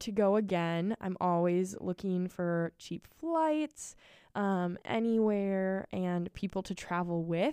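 A woman with an American accent and a medium pitch speaks at a very slow pace in a dark, mellow tone with ordinary pitch variation, on a very clean recording with a silent background and a dry, close sound with no echo. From Minnesota. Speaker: podcast co-host, college resident assistant. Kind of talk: casual chat. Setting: studio.

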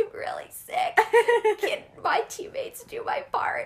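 Putting on a character voice, a woman speaks at an extremely high pitch and a moderate pace, hoarse and croaky.

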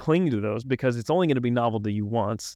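Against a quiet background, a man with an American accent speaks at a fairly quick pace in a medium pitch, with an unremarkable speaking voice and a dry, close sound with no echo. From Arkansas, US South. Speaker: coffee company founder. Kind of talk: casual interview. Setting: in-person studio.

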